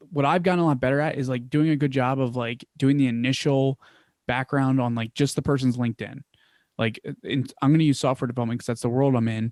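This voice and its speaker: In a Philadelphia accent, a man talks very fast at a medium pitch with fairly even intonation, the sound dry and close with no echo. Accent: Philly. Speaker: business founder. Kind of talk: interview. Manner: casual, filler-heavy.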